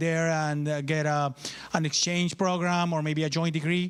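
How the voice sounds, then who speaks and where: With a Spanish accent, a man with a high voice speaks at a moderate pace in a monotone, flat intonation. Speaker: university official. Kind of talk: ceremony speech. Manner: halting.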